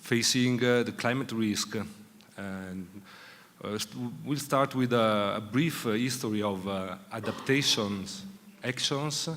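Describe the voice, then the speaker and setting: A man speaks with an Italian accent at a fairly slow pace. His medium-pitched voice has ordinary pitch variation amid audible room echo. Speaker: city official. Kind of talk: conference presentation. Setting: conference session with audience. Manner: slow, halting.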